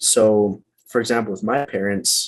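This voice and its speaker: A man's fairly low voice in a Western US accent, with ordinary pitch variation. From Utah. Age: 30s. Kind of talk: interview answer.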